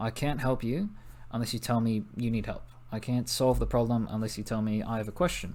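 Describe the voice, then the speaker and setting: Here a man with an American accent has an unremarkable speaking voice, a medium pitch and fairly even intonation. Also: fairly quick pace. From US Northeast (New Jersey). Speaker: teacher. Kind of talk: recorded class introduction lesson. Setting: recorded video for online class.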